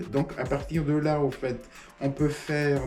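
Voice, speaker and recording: A man talks at a very slow pace. Noticeable background noise and audible room echo fill the recording. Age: 60s. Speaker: small business owner. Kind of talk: interview testimony. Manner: halting, many hesitations.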